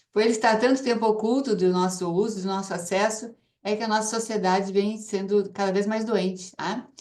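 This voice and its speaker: A woman's plain, everyday voice, medium in pitch, with fairly even intonation and a fairly quick pace. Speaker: ozone therapy promoter and cancer survivor. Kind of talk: testimony.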